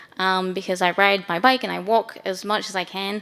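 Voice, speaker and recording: A woman speaks with an Australian accent at a medium pitch. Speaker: council urban designer. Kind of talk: panel discussion.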